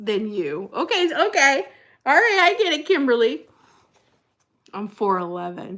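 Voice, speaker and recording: Fairly high in pitch, a woman speaks in a bright, sharp, animated tone with very wide pitch swings. She goes at a fairly slow pace with long, frequent pauses. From New Jersey. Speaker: livestream host, former pastor. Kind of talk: casual live chat reading comments. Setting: livestream.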